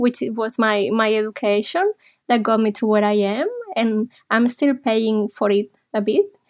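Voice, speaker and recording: A woman's fairly high voice with ordinary pitch variation, very even loudness, and a slight Spanish accent. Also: moderate pace. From Spain (Barcelona). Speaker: psychologist. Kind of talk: interview.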